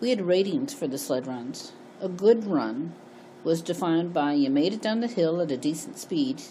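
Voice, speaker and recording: With an American accent, a woman speaks in a very deep, low pitch and lively intonation, with audible room echo. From Connecticut, US. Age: 60s. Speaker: memoir storyteller. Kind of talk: reading aloud personal memoir.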